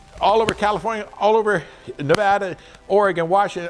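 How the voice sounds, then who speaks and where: With music playing in the background, the speech moves at a fairly quick pace. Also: man. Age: 70s. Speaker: powersports salesman. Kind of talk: informal product advice talk. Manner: casual, repetitive with restarts.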